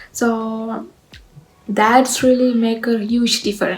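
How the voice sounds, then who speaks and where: A woman's fairly high voice, very slow in pace, with fairly even intonation. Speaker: graduate student vlogger. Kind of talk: casual advice vlog. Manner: hesitant, many fillers.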